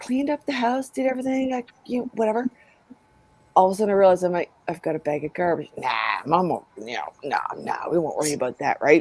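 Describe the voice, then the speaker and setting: A woman at a medium pitch with very wide pitch swings and a very fast pace, dry and close with no echo, over noticeable background noise. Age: 50s. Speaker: host of a community chat stream. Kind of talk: casual group chat.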